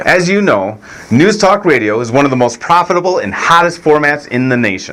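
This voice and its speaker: At a fairly quick pace, a man talks in a fairly high pitch with very wide swings. Noticeable background noise is present. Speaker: president of a syndicated radio media company. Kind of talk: radio syndication sales pitch.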